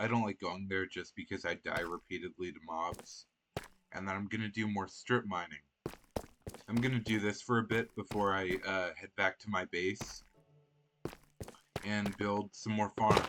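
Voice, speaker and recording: With music in the background, a man with a fairly low pitch speaks at a moderate pace in fairly even intonation, leaving long, frequent pauses. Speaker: gamer doing voiceover. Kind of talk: casual gameplay commentary. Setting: recorded voiceover over gameplay. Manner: hesitant, many fillers.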